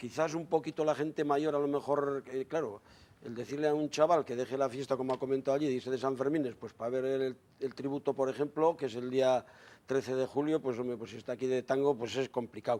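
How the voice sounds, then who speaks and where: A man speaks at medium pitch with a dark, mellow tone. His pace is fairly quick and his intonation fairly even. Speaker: member of a traditional raftsmen association. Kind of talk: TV studio discussion.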